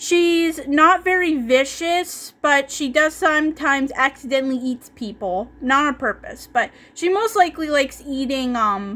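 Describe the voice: The speaker talks at a fairly slow pace with a fairly bright tone. Pitch variation is ordinary. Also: woman.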